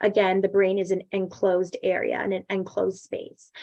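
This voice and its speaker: Against a quiet background, a woman speaks at medium pitch. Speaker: medical educator teaching premed students. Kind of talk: online teaching session. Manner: fast, stumbling over words.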